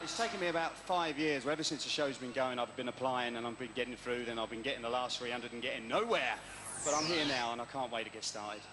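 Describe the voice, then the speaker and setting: With audible room echo and noticeable background noise, a man talks very fast in an East Midlands accent at medium pitch with ordinary pitch variation. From Derby, East Midlands of England. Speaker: game show contestant. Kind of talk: TV interview. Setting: indoor arena with live audience.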